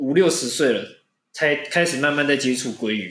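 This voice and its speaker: A man talks at a moderate pace. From Penghu, Taiwan. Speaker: podcast host. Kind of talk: casual chat.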